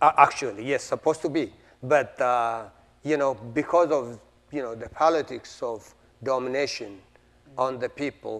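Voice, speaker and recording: With an Ethiopian accent, a man speaks at medium pitch and a moderate pace with ordinary pitch variation. He leaves long, frequent pauses. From Ethiopia, Oromo region. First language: Oromo. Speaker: playwright. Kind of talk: interview. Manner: halting, with fillers and repetitions.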